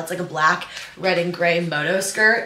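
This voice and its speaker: A woman speaks at a fairly quick pace. Light background noise and audible room echo are present. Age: 20s. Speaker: lifestyle YouTuber. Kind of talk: casual vlog talk to camera. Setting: bedroom at home. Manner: animated. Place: home room.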